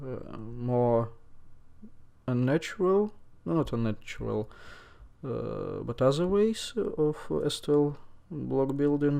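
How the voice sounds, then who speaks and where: Speaking very slowly with long, frequent pauses, a man uses a non-native accent and lively intonation. His voice is fairly high-pitched with a dark, mellow tone, over a quiet background. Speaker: speedcuber. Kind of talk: tutorial. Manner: halting, many fillers.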